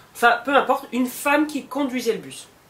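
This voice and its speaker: An animated tone amid noticeable background noise. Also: woman. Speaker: vlogger. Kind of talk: storytelling.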